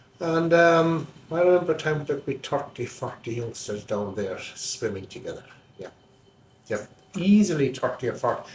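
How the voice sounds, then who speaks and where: Speaking in a Kerry accent, a man with a fairly high pitch talks at a moderate pace with lively intonation. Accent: Irish, Kerry. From Ireland, County Kerry. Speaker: local interviewee recalling village life. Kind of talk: oral history interview.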